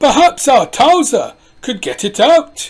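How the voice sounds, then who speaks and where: A woman does a put-on character voice, high-pitched and lively in intonation. She speaks at a fairly slow pace. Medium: read story. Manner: matter-of-fact.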